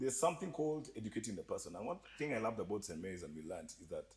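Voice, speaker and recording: Delivered at a very fast pace, the speech has an animated tone and vocal fry. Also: man. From Kenya. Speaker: entertainment industry guest. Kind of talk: casual podcast chat.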